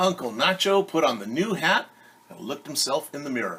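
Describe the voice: The voice makes big pitch swings with a bright, sharp tone. A husky, rough edge runs through it. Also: man, fairly high pitch for a man, moderate pace.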